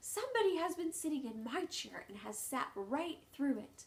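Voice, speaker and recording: A high-pitched put-on character voice at a moderate pace. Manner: distressed, crying out.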